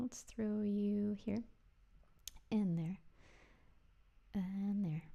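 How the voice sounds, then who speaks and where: At a very slow pace, a woman with a medium pitch speaks in a dark, mellow tone that is somewhat breathy. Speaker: music producer livestreaming studio session. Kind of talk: casual livestream commentary while making music. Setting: home studio livestream. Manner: distracted, halting with many fillers.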